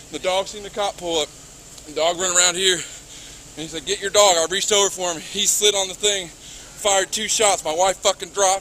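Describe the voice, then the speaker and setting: Over light background noise, a raised, projected voice moves at a fairly quick pace with fairly even intonation. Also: man. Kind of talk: emotional account to police. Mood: distraught, angry, shaken. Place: street. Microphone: camera far.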